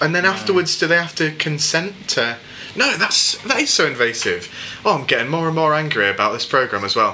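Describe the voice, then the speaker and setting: A man with an English accent talks at a fairly high pitch, his voice making very wide pitch swings. Noticeable background noise runs under him. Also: fairly quick pace. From England. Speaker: podcast host. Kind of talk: casual chat.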